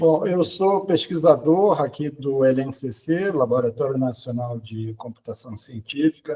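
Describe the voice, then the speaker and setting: This man's voice sits at medium pitch, somewhat breathy, with a dark, mellow tone. He talks at a fairly slow pace with hardly any pauses and ordinary pitch variation. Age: 60s. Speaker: quantum computing researcher and professor. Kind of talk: podcast interview. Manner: hesitant, many fillers.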